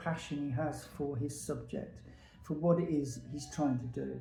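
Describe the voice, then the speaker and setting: With music playing in the background and audible room echo, a man talks at a fairly high pitch with ordinary pitch variation. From England, Peterborough. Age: 70s. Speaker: veteran hairdresser. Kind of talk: casual monologue to camera.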